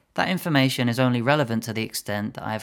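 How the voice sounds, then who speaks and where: A man at a very fast pace and medium pitch, with ordinary pitch variation, on a very clean recording with a silent background. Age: 20s. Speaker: language coach. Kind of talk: solo podcast monologue.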